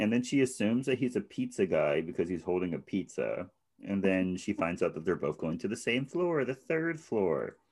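A man with a medium pitch and vocal fry talks at a moderate pace, his pitch swinging very widely. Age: 20s. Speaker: podcast co-host. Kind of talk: casual chat.

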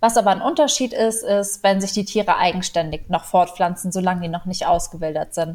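A woman's normal speaking voice at a medium pitch, fairly quick with hardly any pauses. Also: ordinary pitch variation. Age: 20s. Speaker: animal welfare volunteer. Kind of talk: interview.

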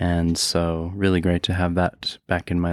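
Speaking in an American accent, a man with a very deep, low pitch keeps a moderate pace and a monotone, flat intonation, with a dry, close sound and no echo. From Colorado (Denver). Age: 40s. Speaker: acupuncturist. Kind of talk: casual chat.

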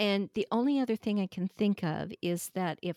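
A woman with an American accent speaks at a moderate pace in a plain, everyday voice, on a very clean recording with a silent background. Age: 60s. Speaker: fiber craft technical editor. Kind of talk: casual chat.

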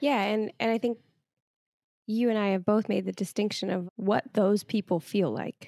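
With a dry, close sound and no echo, a woman speaks at a medium pitch and moderate pace with fairly even intonation. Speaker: podcast co-host. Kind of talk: casual chat. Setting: at home by a fireplace.

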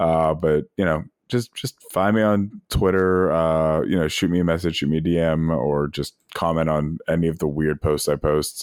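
Very deep and low, a man's voice with an American accent moves at a moderate pace with fairly even intonation and very even loudness, in a dry, close sound with no echo. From US, Pittsburgh, Pennsylvania. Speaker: gaming league organizer. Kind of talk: casual chat. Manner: repeats words, halting.

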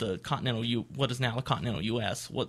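At a very fast pace, a man with an Appalachian accent speaks at a medium pitch with vocal fry in a very clean recording against a silent background. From West Virginia (Appalachia). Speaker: archaeology graduate student. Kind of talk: interview. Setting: radio studio.

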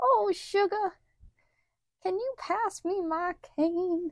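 In a put-on character voice, a female-sounding voice talks at a very slow pace with an extremely high pitch. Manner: sweet, gentle.

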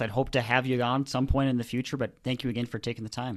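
On a very clean recording with a silent background, a man talks at a very fast pace and a medium pitch. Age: 20s. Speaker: podcast host. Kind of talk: interview. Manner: halting.

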